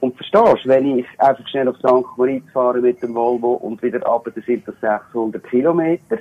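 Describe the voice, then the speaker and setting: An ordinary speaking voice moves along at a moderate pace. There are hardly any pauses, and the intonation stays fairly even. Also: man, medium pitch for a man. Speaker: caller. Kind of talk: casual chat. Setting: phone call. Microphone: poor phone line, dropouts.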